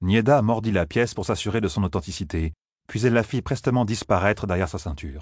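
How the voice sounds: A natural reading voice with ordinary pitch variation, set against a quiet background.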